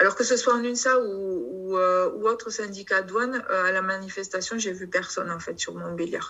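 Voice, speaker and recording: A woman with a southern French accent speaks with fairly even intonation. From southern France, Perpignan area. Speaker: customs officer and union representative. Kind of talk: union video meeting discussion. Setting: video call. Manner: halting, many hesitations.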